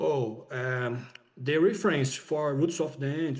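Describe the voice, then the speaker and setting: The man speaks in a fairly high pitch. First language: not English. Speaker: filmmaker. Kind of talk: interview. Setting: video call. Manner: halting. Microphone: too quiet.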